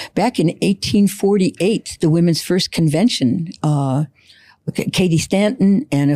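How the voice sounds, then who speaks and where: The tone is dark and mellow, with lively intonation. The recording is very clean with a silent background, and the sound is dry and close with no echo. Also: woman. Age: 80s+. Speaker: community college instructor and guest. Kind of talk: podcast interview. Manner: halting.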